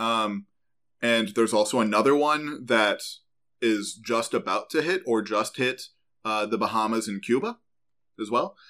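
Recorded very cleanly against a silent background, a man with an American accent speaks at a medium pitch with ordinary variation. His tone is bright and sharp, broken by long, frequent pauses. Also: moderate pace. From Central New York. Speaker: podcast host, geoscience explainer. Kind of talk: casual educational chat.

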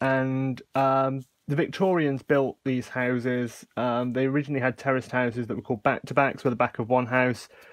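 A man speaks against a quiet background. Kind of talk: casual tutorial chat. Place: home room. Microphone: phone near.

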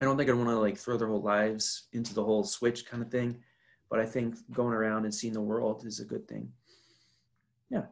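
Against a quiet background, a man at medium pitch speaks fairly quickly in a monotone, flat way, with long, frequent pauses. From North Carolina. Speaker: podcast guest, host's roommate. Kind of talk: casual chat. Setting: video call. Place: home room. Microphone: webcam.

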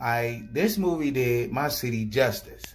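Against a quiet background, a man speaks in an animated, somewhat breathy tone. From Baltimore, Maryland, US. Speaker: YouTuber. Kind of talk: casual video reaction. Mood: proud, upbeat. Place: home room. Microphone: phone near.

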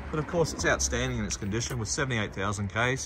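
A man speaks with an Australian accent in an upbeat tone. Noticeable background noise is present. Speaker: car dealer salesperson. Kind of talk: car dealership sales pitch, walkaround video. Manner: upbeat, salesy, repeating 'outstanding' and pushing for a visit. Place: street. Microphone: phone near.

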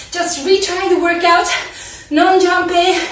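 Monotone, flat intonation comes at a moderate pace, with light background noise and audible room echo. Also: woman. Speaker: fitness instructor. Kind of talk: workout instruction and vlog intro. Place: home room.

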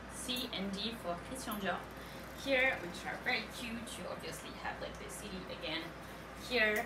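A woman speaks over noticeable background noise. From France. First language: French. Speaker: live sale host. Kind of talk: live shopping presentation. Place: shop. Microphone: camera far.

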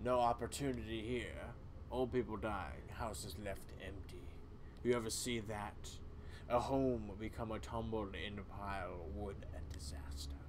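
A man's put-on character voice, fairly low in pitch, at a moderate pace over loud background noise. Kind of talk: solo game voice acting. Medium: solo performance. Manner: grim, storytelling, bitter.

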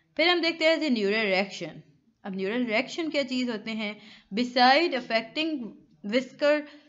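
Her pitch swings very widely as a woman speaks. Room echo is audible. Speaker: online tutor. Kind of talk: lecture. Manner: conversational.

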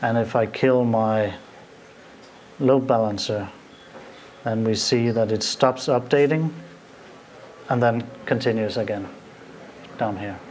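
A man talks with a Danish accent at a fairly slow pace. His intonation stays fairly even over light background noise. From Denmark. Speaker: IT consultant; conference presenter. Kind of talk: live demo. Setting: stage with audience. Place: hall. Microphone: podium.

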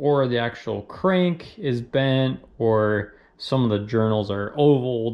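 Speaking at a very slow pace, a man shows ordinary pitch variation. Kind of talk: tutorial. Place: garage. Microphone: phone near.

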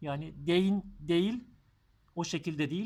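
In a very clean recording with a silent background, a man with a high voice speaks at a fairly slow pace with ordinary pitch variation. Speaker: German language teacher. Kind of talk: tutorial.

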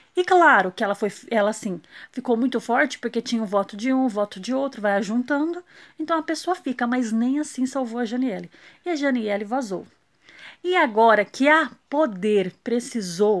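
This woman has an ordinary speaking voice, fairly high in pitch, with lively intonation at a moderate pace. The background is quiet. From Brazil. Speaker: reality show commentator YouTuber. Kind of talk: casual vlog commentary. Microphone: phone near.

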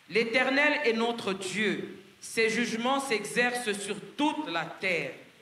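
A man's raised, projected voice at an extremely high pitch, very slow in pace with ordinary pitch variation, over noticeable background noise. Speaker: French interpreter. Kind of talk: consecutive interpreting of a sermon. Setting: church, live audience.

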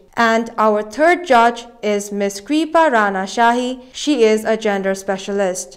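Quiet background, a woman talking at a fairly slow pace. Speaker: TV show host. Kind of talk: presenting, formal emcee announcements. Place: studio. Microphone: lapel.

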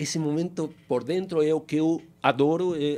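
A dark, mellow tone with a strong Spanish accent. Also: man. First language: Spanish (speaking Portuguese). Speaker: fintech founder and CEO; guest. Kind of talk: interview. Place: studio. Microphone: studio mic.

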